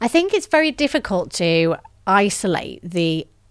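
With a northern English accent, a woman speaks at a moderate pace and with ordinary pitch variation on a very clean recording against a silent background. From northern England. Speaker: gender justice specialist and author. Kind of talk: interview.

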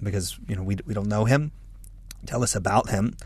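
A man's fairly low voice with vocal fry, ordinary pitch variation and a moderate pace. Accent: American. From United States. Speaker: podcast co-host, evangelical leader. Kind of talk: interview.

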